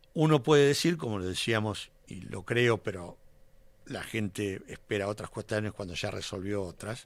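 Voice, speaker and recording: A man with a plain, everyday voice speaks at a moderate pace and a fairly low pitch. His intonation is lively, and his loudness swings widely. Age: 60s. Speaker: politician. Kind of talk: radio interview.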